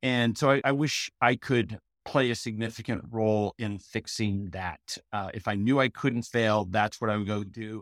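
Over a very clean recording with a silent background, a man with a normal speaking voice talks at a moderate pace and medium pitch, with fairly even intonation and hardly any pauses. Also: dry, close sound with no echo. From US Pacific Northwest, Portland, Oregon. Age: 50s. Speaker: business consultant and author. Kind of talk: interview.

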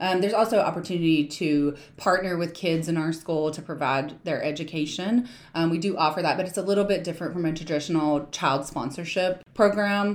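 A woman with an American accent and a fairly low pitch uses a plain, everyday voice, talking at a fairly quick pace with hardly any pauses. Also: ordinary pitch variation. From US South, southern West Virginia. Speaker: nonprofit founder. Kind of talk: interview.

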